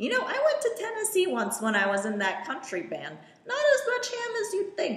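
A woman's put-on character voice, extremely high in pitch, at a moderate pace with slight echo. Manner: rambling, chatty.

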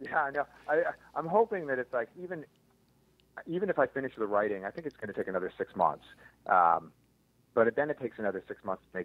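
A man with an American accent talks very fast at medium pitch, with vocal fry and very wide pitch swings. He leaves long, frequent pauses. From US Northeast, Philadelphia. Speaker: birder and bird photographer, former scientist. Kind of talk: casual interview chat.

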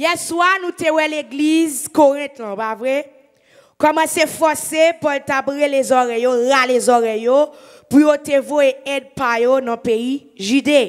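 A woman with a Haitian accent, high-pitched, very slow, with ordinary pitch variation against a quiet background. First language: Haitian Creole (speaking French). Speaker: evangelist preacher. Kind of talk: sermon. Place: church. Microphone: handheld.

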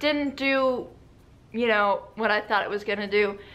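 Speaking very slowly, a woman has an American accent. Her fairly high voice carries a bright, sharp tone. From United States. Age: young. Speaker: beauty vlogger. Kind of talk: casual talk to camera. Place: home room. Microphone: phone near.

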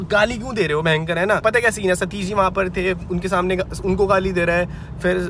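The speech moves at a fairly quick pace with fairly even intonation. The sound is dry with no echo, over light background noise. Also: man. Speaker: vlogger. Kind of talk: casual vlog chat, storytelling. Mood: upset, recounting a fight. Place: car. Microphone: phone near.

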